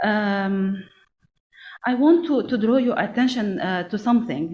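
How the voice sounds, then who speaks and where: At a fairly slow pace, a woman with a non-native accent speaks in a fairly high, somewhat breathy voice with lively intonation and audible room echo. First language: not English. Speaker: national SME policy coordinator. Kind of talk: conference panel remarks. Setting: conference event. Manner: halting, many fillers.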